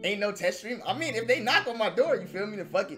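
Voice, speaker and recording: Over clear background music, a man talks at a very fast pace in a raised, projected voice. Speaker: streamer. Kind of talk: casual stream chat. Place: home room.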